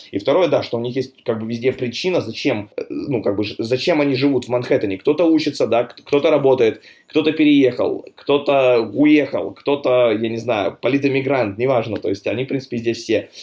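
Medium-pitched male voice, an unremarkable speaking voice, moderately paced and with ordinary pitch variation. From Russia, Chelyabinsk (Urals). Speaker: real estate broker. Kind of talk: casual interview. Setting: remote call.

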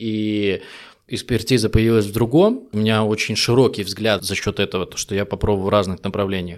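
A man talks at a fairly quick pace with fairly low pitch and fairly even intonation in a plain, everyday voice. The recording is very clean, with a silent background. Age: 30s. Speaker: B2B salesperson. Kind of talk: casual interview chat.

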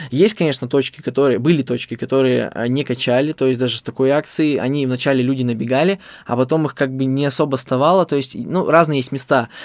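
At a very fast pace, a man with a medium pitch talks with fairly even intonation. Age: 20s. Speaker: fast food business owner. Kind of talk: interview storytelling.

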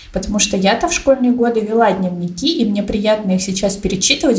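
The speaker talks fairly quickly and with fairly even intonation against noticeable background noise. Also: woman. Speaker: podcast co-host. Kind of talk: casual chat.

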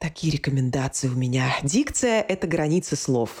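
A woman's voice with lively intonation. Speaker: speech coach and actress. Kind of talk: interview, teaching tips.

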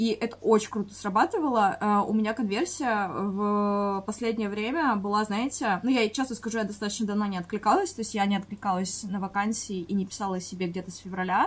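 A woman at medium pitch and a fairly quick pace. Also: ordinary pitch variation, hardly any pauses. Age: 20s. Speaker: podcast co-host, freelancer. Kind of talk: casual chat. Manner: hesitant, many filler sounds.

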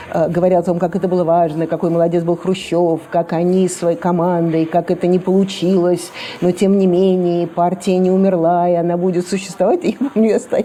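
A woman's fairly low, monotone voice with flat intonation and very even loudness, at a moderate pace over noticeable background noise. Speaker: granddaughter of Khrushchev. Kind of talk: interview recollection.

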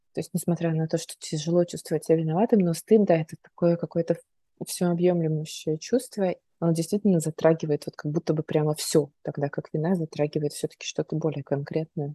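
Recorded with a dry, close sound and no echo, a woman with a fairly low pitch and a dark, mellow tone sounds somewhat breathy, talking at a fairly quick pace with fairly even intonation. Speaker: podcast host, psychologist. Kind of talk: casual interview chat.

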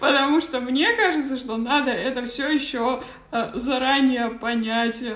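A woman's high-pitched voice, very slow and fairly even in intonation, with audible room echo and noticeable background noise. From Kazakhstan. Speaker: podcast host. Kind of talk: interview. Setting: video call.

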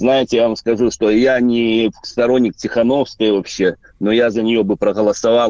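A man's fairly low, dark, mellow voice at a moderate pace, in a dry, close recording with no echo. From Belarus. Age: 40s. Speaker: truck driver, radio caller. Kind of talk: call-in to live radio. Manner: hesitant, filler-heavy.

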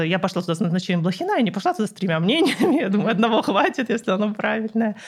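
A woman talks at a very fast pace in a medium pitch, her voice somewhat breathy. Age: 30s. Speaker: physicist and cancer patient blogger. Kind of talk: interview.

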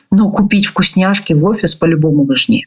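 Through noticeable background noise, a woman at medium pitch talks at a fairly quick pace. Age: 30s. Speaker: podcast host, business owner and consultant. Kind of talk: monologue podcast with storytelling and advice. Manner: casual and animated.

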